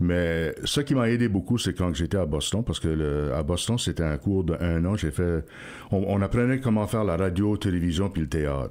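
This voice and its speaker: With lively intonation and very even loudness, a man talks at a moderate pace in a very deep, low pitch. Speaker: radio host. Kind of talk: interview. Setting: radio studio.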